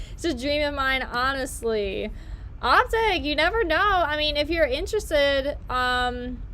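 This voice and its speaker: Raising and projecting her high, bright, sharp voice, a woman speaks at a fairly slow pace with lively intonation amid audible room echo. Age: 20s. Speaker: YouTuber. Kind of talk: casual live-stream chat while baking.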